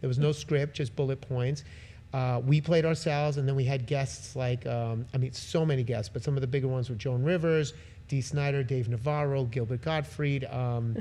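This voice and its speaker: A somewhat breathy, dark, mellow voice with an American accent, at a moderate pace and fairly even intonation. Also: man, medium pitch for a man. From New York (Brooklyn). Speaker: musician. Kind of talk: casual interview. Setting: live podcast venue.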